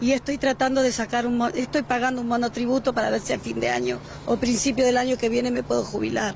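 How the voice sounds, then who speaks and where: Against noticeable background noise, a woman speaks very fast at a high pitch with monotone, flat intonation. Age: 60s. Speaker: unemployed interviewee. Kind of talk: street interview.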